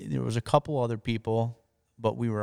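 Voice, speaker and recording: A man speaks with a Wisconsin accent, the sound dry and close with no echo on a very clean recording with a silent background. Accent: Upper Midwest (Wisconsin). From northern Wisconsin. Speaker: professional bass angler. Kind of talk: interview.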